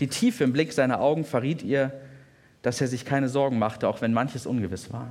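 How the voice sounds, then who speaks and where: A man with a plain, everyday voice speaks fairly quickly at a medium pitch with fairly even intonation. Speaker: pastor. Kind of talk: sermon told as a retold story, bedtime-style storytelling. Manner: vivid, warm, descriptive narration.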